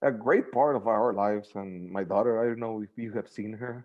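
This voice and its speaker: A man in a Spanish accent talks at a moderate pace and a medium pitch. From Mexico. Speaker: sports super fan. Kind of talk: casual interview. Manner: halting.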